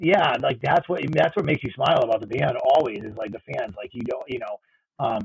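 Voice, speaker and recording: His loudness rises and falls in big swings. The man talks at a fairly quick pace. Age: 30s. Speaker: music fan guest. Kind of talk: casual chat. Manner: halting, many repetitions.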